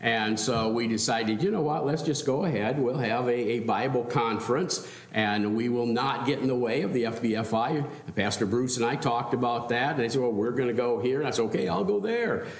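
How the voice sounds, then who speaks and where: The speaker is a man with ordinary pitch variation. Audible room echo surrounds his voice. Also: fairly quick pace. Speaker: pastor. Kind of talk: welcome remarks before a sermon. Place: church. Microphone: podium.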